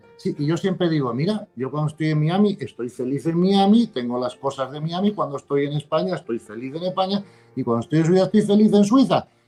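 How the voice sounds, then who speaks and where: Speaking at a fairly quick pace with hardly any pauses, a man with a fairly high pitch and a dark, mellow tone uses lively intonation. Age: 60s. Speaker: author and spiritual teacher. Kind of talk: interview conversation.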